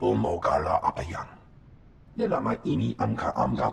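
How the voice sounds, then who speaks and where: A man puts on a character voice, very deep and low, at a moderate pace. Clear background noise and a clear echo fill the recording. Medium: video game. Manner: speaks only an alien language.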